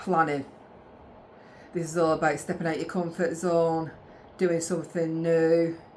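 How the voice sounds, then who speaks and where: Amid audible room echo, a woman with a fairly low pitch speaks in a monotone, flat intonation with long, frequent pauses. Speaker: tarot reader and astrologer. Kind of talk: tarot reading. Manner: halting, with stammers and restarts.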